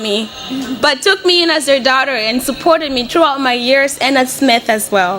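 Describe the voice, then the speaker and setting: Over noticeable background noise, a woman with a high pitch projects her raised voice at a moderate pace, with lively intonation. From Mozambique, Beira. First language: Portuguese. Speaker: college student. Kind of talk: speech.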